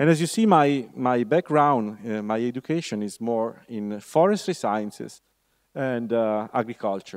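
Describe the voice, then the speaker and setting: His pitch moves with ordinary variation. The man keeps a fairly slow pace. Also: medium pitch for a man, very clean recording, silent background. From Italy. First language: Italian. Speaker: university lecturer. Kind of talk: lecture. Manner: halting, many fillers.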